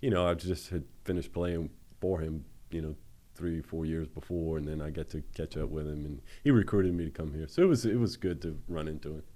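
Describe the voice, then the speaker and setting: A man with a Louisiana accent speaks at a fairly quick pace with ordinary pitch variation. His voice is very deep and low, with a dark, mellow tone. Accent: Louisiana Southern US. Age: 50s. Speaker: former college quarterback. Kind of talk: interview. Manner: halting.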